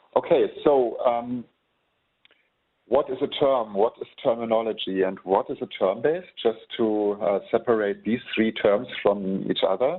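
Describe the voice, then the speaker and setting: A man with a German accent speaks at a medium pitch and a fairly slow pace with ordinary pitch variation. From Germany. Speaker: software trainer. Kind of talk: webinar tutorial. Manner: hesitant, many fillers.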